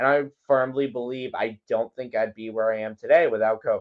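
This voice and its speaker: A man with an ordinary speaking voice, lively intonation, and a fairly quick pace. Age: young. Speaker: songwriter and radio promoter. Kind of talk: casual interview. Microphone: connection cutting in and out.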